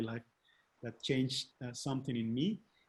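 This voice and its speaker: Somewhat breathy, a man with a medium pitch and a non-native accent speaks with fairly even intonation. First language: not English. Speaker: webinar host. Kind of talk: live interview. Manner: halting.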